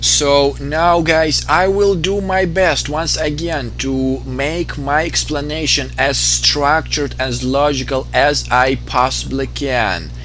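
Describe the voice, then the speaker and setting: A man with a non-native accent speaks at a very slow pace with hardly any pauses, audible room echo and music in the background. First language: not English. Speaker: video game let's player. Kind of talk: gameplay commentary explaining lore. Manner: halting, many fillers.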